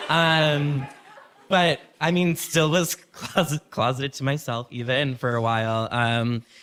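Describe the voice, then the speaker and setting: Noticeable background noise accompanies a man with a fairly high pitch. He speaks at a very slow pace with ordinary pitch variation. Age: 30s. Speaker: tattoo artist, podcast guest. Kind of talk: live podcast conversation. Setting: stage with audience.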